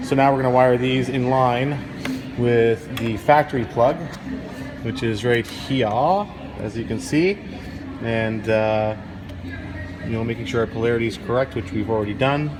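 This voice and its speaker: Recorded with audible room echo and noticeable background noise, a man with a Canadian accent talks in a relaxed tone at a moderate pace and medium pitch, with ordinary pitch variation and long, frequent pauses. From Canada. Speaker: car audio installer. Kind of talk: casual chat; tutorial. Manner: casual, relaxed.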